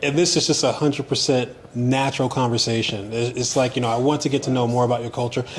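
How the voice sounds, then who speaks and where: A man with an American accent at a medium pitch and a very fast pace, over noticeable background noise. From United States. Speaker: tourist. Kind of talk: casual chat. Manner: animated.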